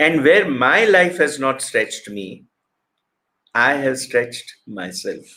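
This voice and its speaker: A man's fairly high, bright, sharp voice with vocal fry, very wide pitch swings and a very slow pace. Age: 60s. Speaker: motivational speaker. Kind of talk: motivational talk.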